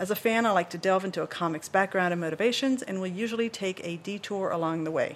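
At a fairly quick pace, a woman uses an ordinary speaking voice with medium pitch and ordinary pitch variation. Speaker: podcast host. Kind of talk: podcast interview.

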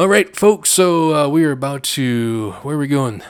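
A man with a fairly high pitch and an American accent, lively intonation, and a fairly slow pace. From Chicago area, US Midwest. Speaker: radio host. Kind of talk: radio dj patter. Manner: animated, excitable.

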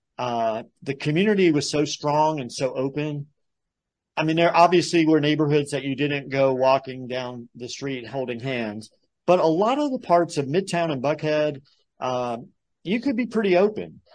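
With an unremarkable speaking voice, a man talks at a moderate pace in a fairly high pitch with lively intonation against a quiet background. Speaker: podcast host. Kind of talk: interview.

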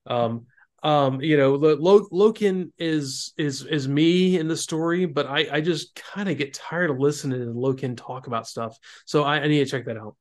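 Over a quiet background, a man with an American accent speaks at a moderate pace in a fairly high pitch with ordinary pitch variation and an unremarkable speaking voice. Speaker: podcast host. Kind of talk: casual chat.

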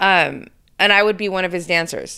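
At a moderate pace, a woman speaks with an animated tone. Her pitch is medium, with ordinary variation. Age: 40s. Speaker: podcast host. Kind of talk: interview.

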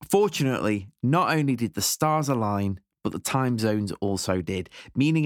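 In a British accent, a man speaks at a medium pitch with very wide pitch swings. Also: dry, close sound with no echo, very clean recording, silent background. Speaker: podcast host. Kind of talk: interview chat.

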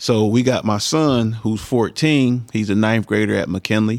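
In a very clean recording with a silent background, a man with an unremarkable speaking voice talks at a moderate pace, his medium pitch showing ordinary variation. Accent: American. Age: 40s. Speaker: former high school football player, community figure. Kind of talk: casual interview.

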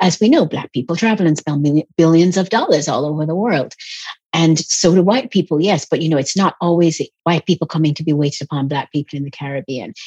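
A woman with a fairly low pitch and a somewhat breathy voice speaks at a fairly quick pace with ordinary pitch variation, the sound dry and close with no echo. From Jamaica and England. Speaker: travel writer. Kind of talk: interview. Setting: video call.

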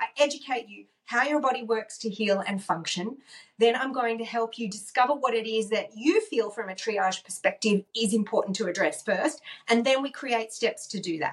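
This woman talks in an upbeat, animated tone at a moderate pace. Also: fairly high pitch for a woman, ordinary pitch variation. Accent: Australian. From Australia. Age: 50s. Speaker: wellness coach and author. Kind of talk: interview conversation.

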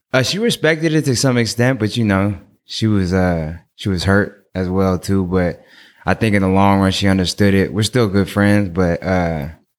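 In a very clean recording with a silent background, a man with an unremarkable speaking voice and an American accent talks at a moderate pace, at a fairly low pitch with ordinary pitch variation. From Oakland, California. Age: 30s. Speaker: clothing designer. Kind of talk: casual chat.

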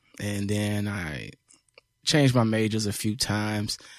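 With an American accent, a man talks in an ordinary speaking voice at a fairly low pitch, a moderate pace and fairly even intonation. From US Midwest, south side of Chicago. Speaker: rapper and former teacher. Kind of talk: casual chat.

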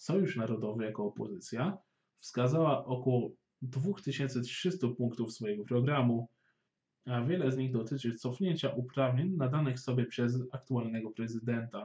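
At a moderate pace, a man talks in a medium-pitched, somewhat breathy voice with ordinary pitch variation. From Poland, Warsaw. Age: 20s. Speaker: podcast host. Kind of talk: scripted news narration.

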